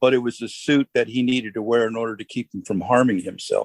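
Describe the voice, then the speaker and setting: The sound is dry and close, with no echo. A man with an unremarkable speaking voice talks at medium pitch and a moderate pace, keeping his intonation fairly even. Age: 60s. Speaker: counselor. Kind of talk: casual chat. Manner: emotional storytelling.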